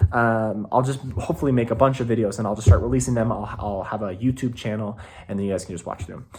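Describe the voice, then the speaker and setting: Speaking at a very fast pace, a man with a fairly low pitch sounds somewhat breathy, his loudness swinging widely while his pitch varies in an ordinary way. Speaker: youth pastor. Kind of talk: casual update video to volunteers. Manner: rambling with many fillers.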